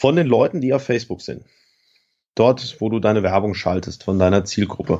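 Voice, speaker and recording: The man's voice sits at a fairly low pitch with a dark, mellow tone. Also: ordinary pitch variation, moderate pace. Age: 30s. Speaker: online t-shirt entrepreneur. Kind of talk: interview. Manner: relaxed conversational, frequent fillers.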